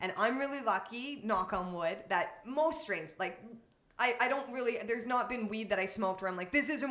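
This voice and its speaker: In a room with audible echo, a woman talks very fast at a fairly high pitch, with lively intonation. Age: 30s. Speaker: cannabis advocate. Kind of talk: casual chat.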